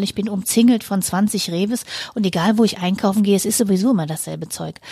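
The recording is dry and close, with no echo. A woman speaks at a moderate pace and medium pitch, with ordinary pitch variation. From rural Germany. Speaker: podcast co-host. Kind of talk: casual chat.

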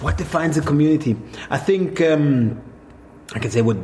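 A man speaks with a German accent at a fairly quick pace. Noticeable background noise runs under his voice. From Swabia, southern Germany. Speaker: hotel manager. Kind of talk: casual conversation. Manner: halting.

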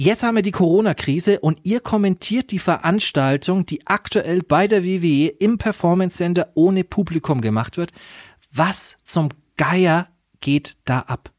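A man with a high pitch talks fairly slowly, his pitch varying in an ordinary way. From Germany, Nuremberg. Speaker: podcast host, former pro wrestler. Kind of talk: casual chat.

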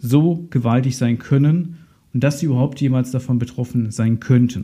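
There is some breathiness in this voice. The tone comes across dark and mellow. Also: man. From Germany, Ahr valley (Rhineland-Palatinate). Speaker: insurance advisor, podcast host. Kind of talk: solo podcast explainer.

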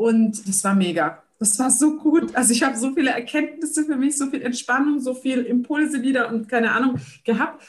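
Speaking at a moderate pace, a woman with a high pitch sounds energetic, with ordinary pitch variation. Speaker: social entrepreneur. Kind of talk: interview.

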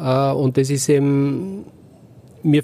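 Captured with a dry, close sound and no echo, the man's voice has a dark, mellow tone. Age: 60s. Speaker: franchise owner, former corporate CFO. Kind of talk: interview. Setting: podcast bus at a trade fair. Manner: hesitant, many filler sounds.

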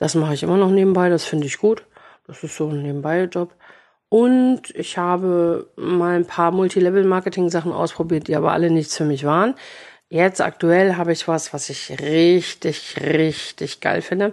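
Against a quiet background, a woman speaks at a moderate pace, her pitch fairly low with ordinary variation. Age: 40s. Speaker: café owner. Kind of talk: casual chat. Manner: animated.

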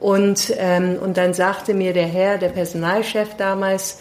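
This woman talks fairly slowly over noticeable background noise. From London, England. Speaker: leadership consultant. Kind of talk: interview. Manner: hesitant, many fillers.

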